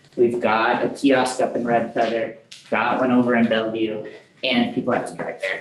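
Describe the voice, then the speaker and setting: A man with a medium-pitched voice talks at a moderate pace, with audible room echo and noticeable background noise. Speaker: program manager presenting to council. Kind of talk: meeting presentation.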